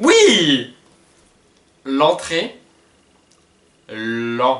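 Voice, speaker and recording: Lively intonation marks a man's plain, everyday voice, pitched fairly high. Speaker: book YouTuber. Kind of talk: casual talk to camera. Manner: mouthing words in a lip-reading game.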